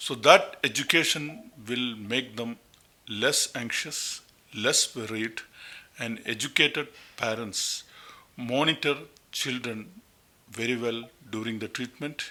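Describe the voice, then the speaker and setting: Speaking with a Keralan accent, a man of medium pitch goes at a very slow pace with fairly even intonation and long, frequent pauses. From India, Kerala. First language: Malayalam. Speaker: pediatric oncologist. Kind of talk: interview.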